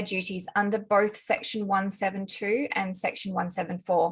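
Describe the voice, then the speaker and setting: Against a quiet background, a woman with an Australian accent speaks in a somewhat breathy voice. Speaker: lawyer. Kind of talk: conference panel talk. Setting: video call. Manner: formal.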